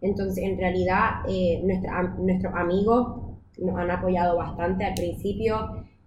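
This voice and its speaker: Amid audible room echo, a woman speaks at a medium pitch and a fairly slow pace. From Puerto Rico. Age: 20s. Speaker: communicator and sex-education project co-founder. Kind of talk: casual interview.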